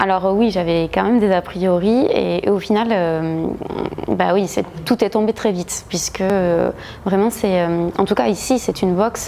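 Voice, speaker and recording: A woman's medium-pitched voice in a southwestern French accent, at a fairly slow pace and very even loudness, over noticeable background noise. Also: ordinary pitch variation. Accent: southwest French. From southwest France (Agen). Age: 30s. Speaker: gym member, former boxer, lawyer. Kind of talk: interview testimony. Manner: hesitant, many filler sounds.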